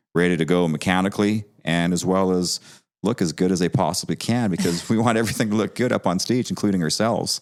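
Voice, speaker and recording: Speaking with a Canadian accent, a man talks at a fairly quick pace. His pitch is very deep and low, and the recording is very clean with a silent background. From Canada, Vancouver, British Columbia. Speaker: classic car dealer. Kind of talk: podcast interview.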